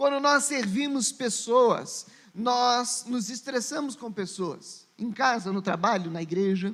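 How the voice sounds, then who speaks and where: A man talks at a very slow pace. His pitch is extremely high, with ordinary pitch variation. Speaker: pastor. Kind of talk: sermon.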